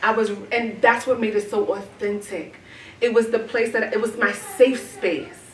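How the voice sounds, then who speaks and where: Fairly high in pitch, a woman speaks at a moderate pace with fairly even intonation. Audible room echo and noticeable background noise surround her voice. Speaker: poet and artist. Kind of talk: audience Q&A at art exhibition. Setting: gallery exhibition with audience. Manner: conversational, repeats words and says right often.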